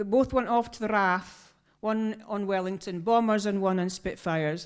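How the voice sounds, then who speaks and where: This woman speaks at a very slow pace with ordinary pitch variation. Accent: northeast Scottish. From northeast Scotland. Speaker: choir member and storyteller. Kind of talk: storytelling to a concert audience. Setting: stage with audience.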